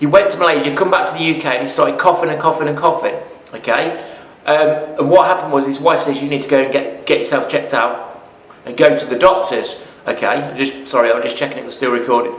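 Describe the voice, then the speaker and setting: In an English accent, a man talks at a very fast pace and a fairly high pitch with ordinary pitch variation, amid audible room echo and noticeable background noise. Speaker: network marketing promoter. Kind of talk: sales pitch. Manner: animated.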